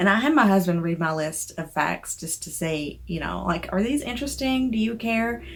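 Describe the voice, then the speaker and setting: A woman talks in a Southern US accent. Her voice sits at a medium pitch. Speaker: indie author. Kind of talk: casual chat.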